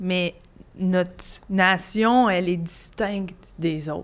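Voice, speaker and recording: A woman with a Quebec accent talks at a very slow pace with ordinary pitch variation, in a very clean recording with a silent background. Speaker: comedian. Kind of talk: casual chat.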